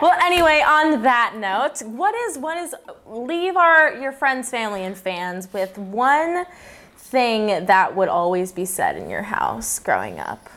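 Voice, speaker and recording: A woman speaks at a fairly slow pace in a high pitch. Her voice makes very wide pitch swings and big swings in loudness. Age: 20s. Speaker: podcast host. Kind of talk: casual interview. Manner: talkative, laughs often.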